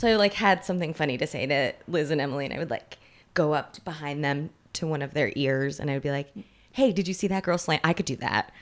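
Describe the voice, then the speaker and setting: Talking at a very fast pace, a woman uses a very deep, low pitch with ordinary pitch variation. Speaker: writer, actor and producer, friend of guest. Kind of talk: casual interview chat.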